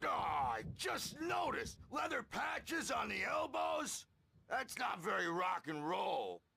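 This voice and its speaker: A man shouts in a put-on character voice at a fairly slow pace. His loudness stays very even. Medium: video game. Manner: rambling, gruff.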